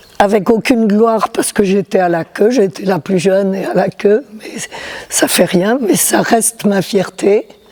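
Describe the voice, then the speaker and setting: A woman speaks at a medium pitch with lively intonation and a fairly slow pace. There is noticeable background noise behind her. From southern France, Toulouse. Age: 80s+. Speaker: glider pilot. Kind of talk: interview testimony. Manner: halting.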